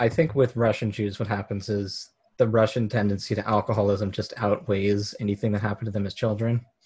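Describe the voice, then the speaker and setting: Somewhat breathy and pitched fairly low, a man talks at a fairly quick pace with fairly even intonation. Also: hardly any pauses. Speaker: guest, comedy club member. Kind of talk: casual chat. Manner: monotone.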